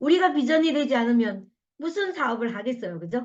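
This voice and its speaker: A woman speaks in an animated tone, her pitch swinging very widely. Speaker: network marketing leader giving a talk. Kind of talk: motivational lecture. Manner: fast when passionate.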